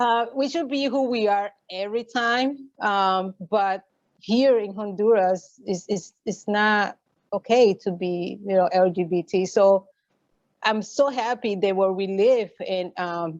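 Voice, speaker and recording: A woman's very slow speech with a Puerto Rican accent. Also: medium pitch for a woman, ordinary pitch variation. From Puerto Rico. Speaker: LGBTQ activist. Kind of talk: interview. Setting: video call. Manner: halting, many fillers.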